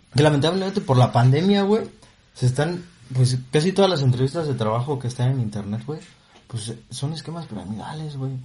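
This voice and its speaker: Fairly high in pitch, this man's voice has a dark, mellow tone and is somewhat breathy. He speaks at a fairly quick pace in a Mexican accent, with lively intonation. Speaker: podcast co-host. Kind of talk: casual comedic chat.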